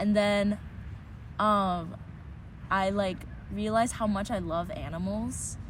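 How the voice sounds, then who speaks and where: There is audible room echo as a woman speaks. She has an American accent and talks at a very slow pace. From Taiwan, from age five after early childhood in New York. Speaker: interviewee sharing childhood memories. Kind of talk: casual interview.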